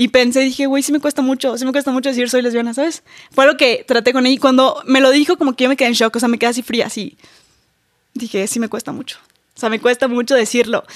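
Here a woman talks at a very fast pace. Her pitch is high. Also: dry, close sound with no echo. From Mexico, Campeche. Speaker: social media influencer. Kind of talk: casual chat. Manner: animated.

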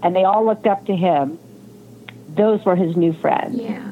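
A woman speaks with an American accent at a medium pitch. Her pitch variation is ordinary. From California. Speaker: nonprofit founder and mother of injured athlete. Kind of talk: casual interview.

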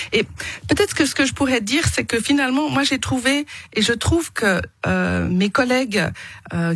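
With lively intonation, the somewhat breathy voice keeps a moderate pace. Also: woman. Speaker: politician and poultry farmer. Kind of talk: radio interview debate. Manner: hesitant with fillers and repetitions.

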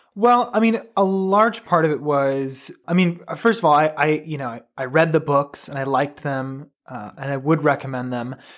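A man's unremarkable speaking voice, fairly high-pitched and lively in intonation, at a moderate pace with hardly any pauses. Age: 20s. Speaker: host's son, book recommender. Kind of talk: casual chat.

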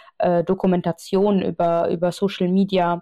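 Her voice is fairly low in pitch for a woman. Her intonation is monotone and flat. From Austria, Vienna. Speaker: journalist. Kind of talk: interview.

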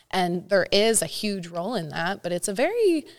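A woman speaks with a Californian accent. Her pace is moderate. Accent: Californian American. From Northern California, Santa Cruz area. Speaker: high school volleyball coach. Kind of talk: interview.

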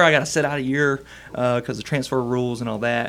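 Over noticeable background noise, a man talks with a Southern US accent. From Arkansas. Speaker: student pastor. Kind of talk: casual interview, life story.

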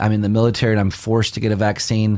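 Here a man has an ordinary speaking voice, fairly low in pitch, with an American accent. He talks at a fairly quick pace. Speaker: pastor and radio show host. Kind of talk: religious discussion show.

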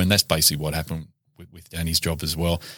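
He speaks with an Australian accent. This man's pitch is very deep and low. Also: very clean recording, silent background. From Newcastle, New South Wales, Australia. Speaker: former police detective and author. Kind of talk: casual interview. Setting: studio.

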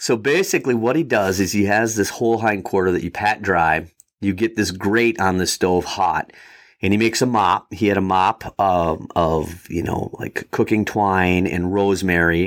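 With an Upper Midwest accent, a man speaks in a fairly low pitch with ordinary pitch variation. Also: moderate pace. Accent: Upper Midwest American. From Wisconsin, US Midwest. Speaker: fly fishing guide and shop owner. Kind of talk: casual interview.

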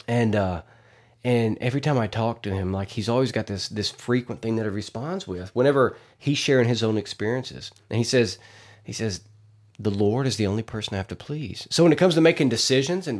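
A man with a Southern US accent speaks with ordinary pitch variation. The recording is very clean, with a silent background. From Arkansas. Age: 30s. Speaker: podcast host. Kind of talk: casual monologue. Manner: animated.

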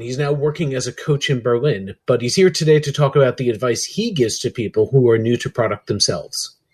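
A man's fairly high, somewhat breathy voice, fairly quick and with hardly any pauses. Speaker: podcast host. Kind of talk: podcast hosting, conversational.

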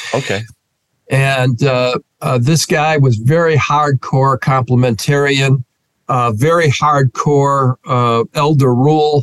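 Very slowly and at very even loudness, a man with a Northeastern American accent speaks at a fairly high pitch with fairly even intonation, the sound dry and close with no echo. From US Northeast, Rochester, New York. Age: 60s. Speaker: pastor. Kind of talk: interview conversation.

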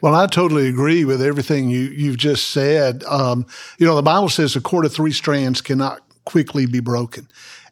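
Speaking fairly quickly with a Southern US accent, a man uses a fairly high pitch and fairly even intonation. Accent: Southern US (Georgia). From US South, Macon, Georgia. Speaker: Baptist associational missionary, former pastor. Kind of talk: interview conversation, testimony.

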